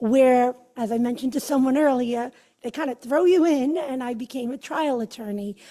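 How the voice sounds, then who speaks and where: In a Brooklyn accent, a woman speaks at a moderate pace with fairly even intonation. Her high voice carries a dark, mellow tone. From Brooklyn, New York. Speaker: judicial candidate, attorney. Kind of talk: campaign speech.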